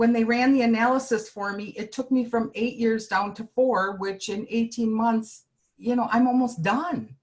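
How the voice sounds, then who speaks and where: A woman with a fairly high pitch speaks in an unremarkable speaking voice, her intonation fairly even. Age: 60s. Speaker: healthcare worker, product user. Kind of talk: testimony.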